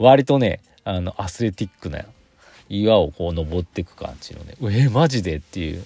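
In a dry, close sound with no echo, a man with a dark, mellow tone and a somewhat breathy voice speaks at a moderate pace, his pitch swinging very widely and his loudness shifting in big swings. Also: fairly low pitch for a man. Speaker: podcaster. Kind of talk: casual solo talk. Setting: in a car.

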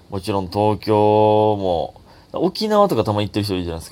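This man speaks with a Kansai accent. His pitch is fairly low and his pace fairly quick. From Takatsuki, Osaka, Japan. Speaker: comedian podcaster. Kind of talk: casual solo talk.

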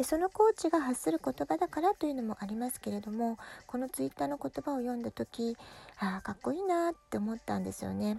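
A woman with a fairly high pitch and a dark, mellow tone speaks at a fairly quick pace with very wide pitch swings. The recording is very clean, with a silent background and a dry, close sound with no echo. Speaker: parenting podcaster. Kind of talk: casual monologue podcast.

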